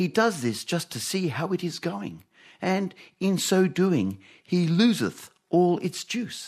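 A man with a high pitch speaks at a very slow pace with an Australian accent. His pitch varies in an ordinary way, and the recording is very clean with a silent background. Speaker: radio host. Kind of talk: live radio comedy panel show. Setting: studio with audience.

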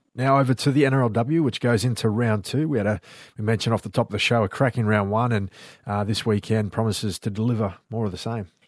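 At a very fast pace, a man talks at a medium pitch, captured on a very clean recording with a silent background. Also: fairly even intonation. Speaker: co-host and rugby league presenter. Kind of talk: casual chat. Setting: studio.

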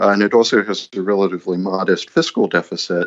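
A man with an ordinary speaking voice talks at a fairly quick pace. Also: dry, close sound with no echo. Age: 30s. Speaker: journalist and author. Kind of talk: interview. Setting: Skype call.

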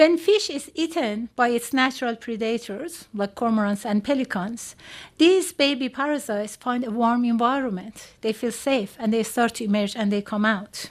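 A woman speaks at a moderate pace in a plain, everyday voice, with hardly any pauses and a fairly high pitch. Her pitch varies in an ordinary way, and the background is quiet. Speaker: parasitologist, university professor. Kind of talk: live science talk to audience. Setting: stage with audience.

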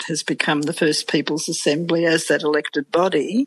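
In an Australian accent, a woman speaks at a moderate pace with a very deep, low pitch and monotone, flat intonation. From Australia, rural Victoria (Swan Hill area). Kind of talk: interview. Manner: halting, with frequent fillers.

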